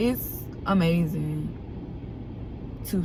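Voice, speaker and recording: There is audible room echo around a woman's voice. Noticeable background noise runs underneath. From Alabama, US South. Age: 20s. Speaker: vlogger. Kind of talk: casual vlog talk. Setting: in a car. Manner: unscripted, conversational.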